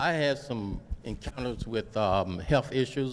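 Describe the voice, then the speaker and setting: This man has a medium-pitched voice and an unremarkable speaking voice. His pitch rises and falls in an ordinary way. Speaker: veteran, audience member. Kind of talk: public comment at community meeting. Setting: gymnasium meeting with audience.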